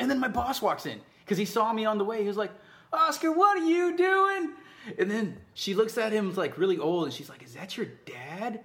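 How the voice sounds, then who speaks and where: A man with an American accent speaks at a fairly quick pace in a high pitch. His tone is bright and sharp, with very wide pitch swings. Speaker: podcast co-host. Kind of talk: casual chat.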